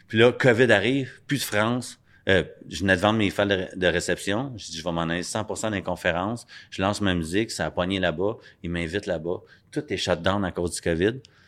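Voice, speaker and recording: With a Quebec accent, a man talks at a fairly quick pace in a very deep, low pitch, on a very clean recording with a silent background. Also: ordinary pitch variation. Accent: Québécois French. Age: 40s. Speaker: addiction recovery speaker and rapper. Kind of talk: interview. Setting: studio.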